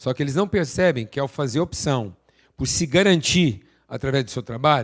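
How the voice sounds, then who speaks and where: In a very clean recording with a silent background, a man speaks at medium pitch with lively intonation. He has a plain, everyday voice. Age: 60s. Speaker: speaker at an event. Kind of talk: motivational talk. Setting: stage with audience.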